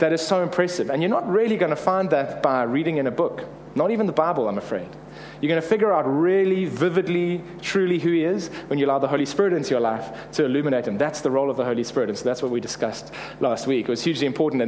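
Noticeable background noise sits behind a man talking at a very fast pace. His fairly high pitch carries lively intonation. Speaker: preacher. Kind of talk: conversational, humorous sermon. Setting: church sermon. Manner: fast talker; fast talker, self-described motormouth.

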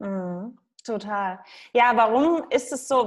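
A woman with a fairly high pitch against a quiet background. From Saxony, eastern Germany. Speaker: nutrition coach. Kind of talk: interview. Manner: halting.

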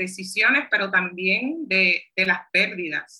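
A woman speaks at a medium pitch. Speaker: community organizer and public health worker, book author. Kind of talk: interview conversation.

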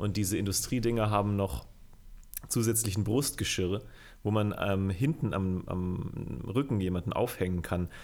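A man's plain, everyday voice at a moderate pace, with ordinary pitch variation. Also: fairly low pitch for a man. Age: 20s. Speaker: music video director. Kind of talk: casual chat.

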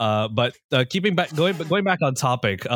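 A man speaks with a Singaporean accent. The recording is very clean with a silent background, and the sound is dry and close with no echo. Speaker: game narrator, podcast cast member. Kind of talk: casual chat.

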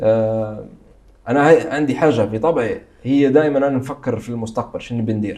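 A man's dark, mellow, medium-pitched voice at a moderate pace with ordinary pitch variation. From Libya, Benghazi. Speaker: travel content creator. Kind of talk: interview.

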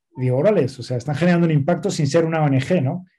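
Dark and mellow yet somewhat breathy, a man's fairly high voice races along at a very fast pace with fairly even intonation. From Spain. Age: 40s. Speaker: nonprofit director. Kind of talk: interview.

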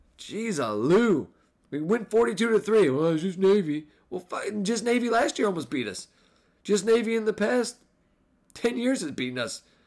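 An animated man speaks with very wide pitch swings and long, frequent pauses. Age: 30s. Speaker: podcast host and Notre Dame football fan. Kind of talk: casual solo podcast recap. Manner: casual, animated, sports fan.

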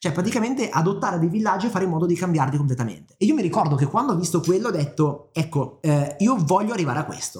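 The speech runs at a very fast pace with lively intonation and hardly any pauses. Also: man, high pitch for a man. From northern Italy, Milan. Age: 20s. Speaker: podcast co-host, business coach. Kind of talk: casual chat.

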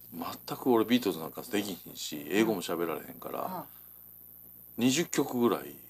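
A man with a Kansai accent at a fairly quick pace, on a very clean recording with a silent background. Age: 40s. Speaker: radio co-host, shop owner. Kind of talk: casual chat.

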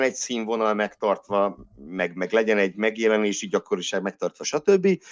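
A normal speaking voice moves at a fairly quick pace with ordinary pitch variation. The background is quiet, and the sound is dry and close with no echo. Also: man. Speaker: classics lecturer and Formula 1 podcaster. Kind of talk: casual chat.

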